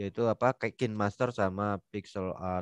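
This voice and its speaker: Against a quiet background, a man with an unremarkable speaking voice and fairly low pitch speaks fairly slowly and with fairly even intonation, the sound dry with no echo. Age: middle-aged. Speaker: webinar moderator, civil servant; webinar moderator. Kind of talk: casual webinar interview. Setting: video call. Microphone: headset.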